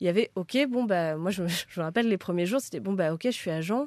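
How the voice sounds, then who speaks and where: With ordinary pitch variation, a woman talks in a fairly low register while the background stays quiet. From France, Créteil (Paris suburbs). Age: 30s. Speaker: talent agent. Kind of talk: casual interview. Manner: halting, many repetitions and fillers.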